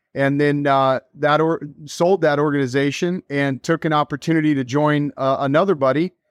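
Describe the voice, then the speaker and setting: In an ordinary speaking voice, a man with an American accent talks at a fairly quick pace and a fairly high pitch with ordinary pitch variation, in a dry, close sound with no echo and a quiet background. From Texas, Dallas. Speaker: real estate coaching director. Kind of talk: podcast interview.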